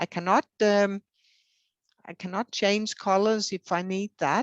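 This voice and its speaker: Over a quiet background, a woman with a Danish accent speaks at a fairly slow pace in a dry, close sound with no echo. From Denmark. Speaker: hard of hearing advocate. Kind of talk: interview. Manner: hesitant, many fillers.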